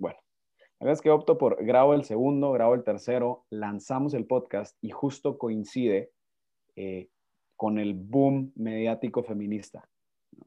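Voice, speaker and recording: A man talks at a fairly slow pace. His medium pitch shows ordinary pitch variation. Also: big swings in loudness. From Guatemala. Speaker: lawyer and speaker. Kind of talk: interview conversation. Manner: halting, repeats words.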